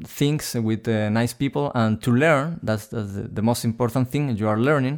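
A man's medium-pitched voice with a Spanish accent, fairly quick and fairly even in intonation, on a very clean recording with a silent background. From Chile. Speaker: sound designer. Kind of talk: interview.

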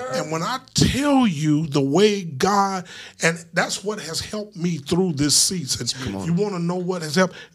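A high male voice with an American accent, an animated tone and lively intonation, at a fairly slow pace amid noticeable background noise. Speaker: pastor. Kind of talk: casual chat. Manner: animated, preacherly.

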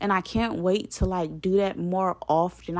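A woman's fairly low voice, animated in tone, at a moderate pace. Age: 20s. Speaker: podcast host. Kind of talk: personal monologue. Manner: casual, animated.

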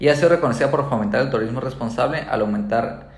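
A man talks with audible room echo around him. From Colombia. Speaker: real estate agent. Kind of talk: podcast monologue. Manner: halting, many fillers.

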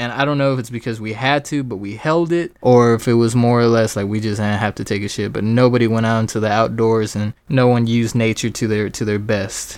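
Talking at a fairly quick pace with hardly any pauses, a man with an American accent has a plain, everyday voice at medium pitch, with fairly even intonation and a quiet background. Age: 20s. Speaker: podcast host. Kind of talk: casual monologue.

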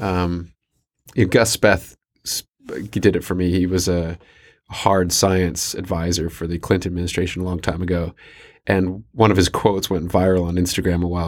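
A man in a Canadian accent, with a very deep, low pitch and monotone, flat intonation. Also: very clean recording, silent background. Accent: Canadian-sounding English. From New Zealand. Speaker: sustainability business expert. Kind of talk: interview. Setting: studio.

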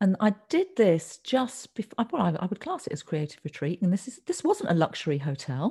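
On a very clean recording with a silent background, a woman with an English accent speaks at a fairly quick pace with hardly any pauses, her dark, mellow tone somewhat breathy and her pitch swinging very widely. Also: medium pitch for a woman. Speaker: textile artist, podcast co-host. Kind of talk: casual chat.

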